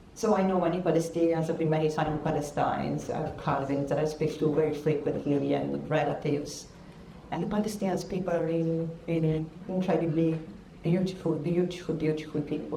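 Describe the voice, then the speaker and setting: In a strong Italian accent, a woman talks at a fairly quick pace with a very deep, low pitch and audible room echo. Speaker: professor. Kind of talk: public talk. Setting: church hall with audience. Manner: animated, passionate.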